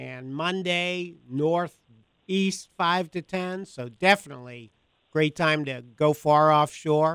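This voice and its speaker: Very slow speech with ordinary pitch variation, recorded dry and close with no echo. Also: man, fairly high pitch for a man. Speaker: fishing writer and radio host. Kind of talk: casual chat. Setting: studio.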